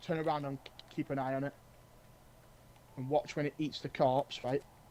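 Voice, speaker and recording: A man of fairly high pitch speaks at a moderate pace in a dark, mellow tone with monotone, flat intonation. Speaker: gaming streamer. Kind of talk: live gameplay stream chat. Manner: halting, repetitive; whispering.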